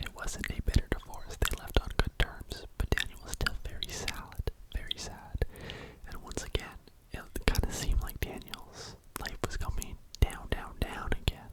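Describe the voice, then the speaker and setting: A man is whispering, with big swings in loudness. Noticeable background noise is present. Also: moderate pace. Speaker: ASMR YouTuber. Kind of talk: true crime storytelling, ASMR whisper ramble. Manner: whispered, soft.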